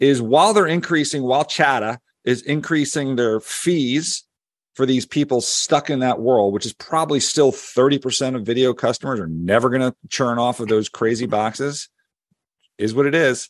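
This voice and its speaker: Against a quiet background, a man speaks at a medium pitch with a Philadelphia accent, and the sound is dry and close with no echo. His pace is moderate, with ordinary pitch variation. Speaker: media and tech analyst, podcast co-host. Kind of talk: casual chat.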